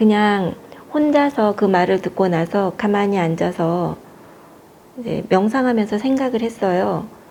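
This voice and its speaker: A woman talks at a fairly slow pace, her pitch medium with ordinary variation. Noticeable background noise runs underneath. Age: 60s. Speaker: cancer patient. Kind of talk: interview. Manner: hesitant, with fillers.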